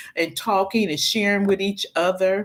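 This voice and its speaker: A woman at a moderate pace, in a very clean recording with a silent background. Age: 60s. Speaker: YouTube commentator and minister. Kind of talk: live stream casual talk. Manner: halting, many fillers.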